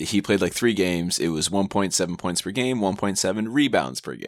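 A man speaks at a very deep, low pitch. Vocal fry runs through his voice. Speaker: sports podcast co-host. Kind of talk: casual chat.

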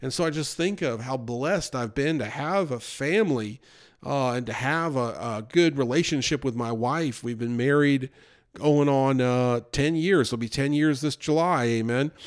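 The recording is very clean with a silent background, carrying an ordinary speaking voice. A man speaks at a medium pitch and a moderate pace, with ordinary pitch variation. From United States. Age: 40s. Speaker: pastor. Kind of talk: sermon. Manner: casual conversational.

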